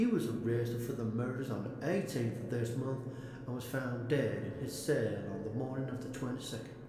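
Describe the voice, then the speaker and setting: A male speaker, heard over noticeable background noise, keeps a moderate pace. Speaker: audiobook narrator. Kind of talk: reading a newspaper article aloud.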